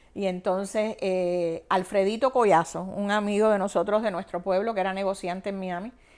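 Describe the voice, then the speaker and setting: Speaking at a fairly quick pace with a medium pitch, a woman with a Cuban accent is heard in a very clean recording with a silent background. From Cuba, Havana province. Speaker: banking executive. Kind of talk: interview, personal life story.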